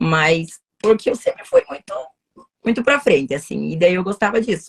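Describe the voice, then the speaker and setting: A woman speaks in an energetic tone, somewhat breathy. The sound is dry and close, without echo. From southern Brazil, Paraná (União da Vitória). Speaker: lawyer. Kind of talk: casual interview. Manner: talkative, energetic.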